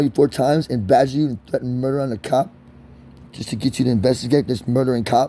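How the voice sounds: A man's dark, mellow tone at medium pitch and a fairly quick pace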